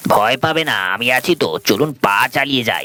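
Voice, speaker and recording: A man's put-on character voice at medium pitch and a moderate pace. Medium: audio drama.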